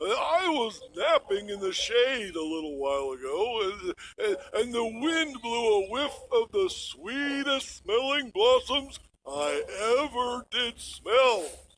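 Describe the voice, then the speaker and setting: Using a cartoonish character voice, a man speaks at an extremely high pitch and a fairly slow pace. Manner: hesitant, folksy, with many "uh"s.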